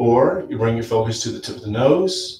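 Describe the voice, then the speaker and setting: There is audible room echo around the speaker. He is a man talking at a moderate pace. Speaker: yoga instructor. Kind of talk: guided yoga class with talk. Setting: live stream. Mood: calm, soothing. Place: home room. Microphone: camera far.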